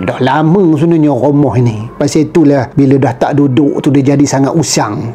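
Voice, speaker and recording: Speech in a strong Perak accent at a moderate pace, with hardly any pauses and noticeable background noise. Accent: thick Perak Malay. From Perak, Malaysia. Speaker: YouTuber. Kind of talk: casual vlog narration. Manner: conversational.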